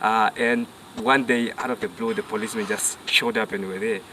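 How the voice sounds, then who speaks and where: Someone speaks at a moderate pace with fairly even intonation. Noticeable background noise is present. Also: man. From northern Namibia (Rundu). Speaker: safari guide. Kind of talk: casual interview chat. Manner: halting, many fillers.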